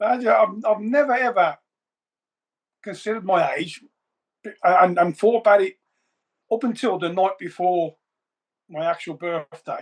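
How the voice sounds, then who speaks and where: A man with a high pitch speaks at a moderate pace. He leaves long, frequent pauses. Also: ordinary pitch variation. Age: 60s. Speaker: veteran bodybuilder. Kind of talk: casual chat.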